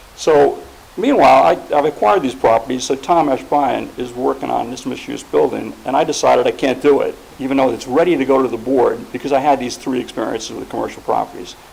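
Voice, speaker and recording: A man talks at a very fast pace. Noticeable background noise runs under his voice. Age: 70s. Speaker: property owner and developer speaking at a planning board. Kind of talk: public comment at a municipal meeting.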